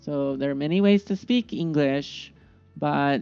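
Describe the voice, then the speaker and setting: Music plays behind a woman with a very deep, low pitch and a Northwest American accent. She speaks at a fairly slow pace. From US Pacific Northwest (Eugene, Oregon). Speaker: English teacher. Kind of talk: tutorial. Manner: slow and clear.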